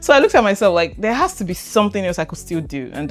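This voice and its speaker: Over music in the background, a woman speaks very fast in an animated tone, her medium pitch making very wide swings. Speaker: event compere and voiceover artist. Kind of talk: podcast interview. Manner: articulate.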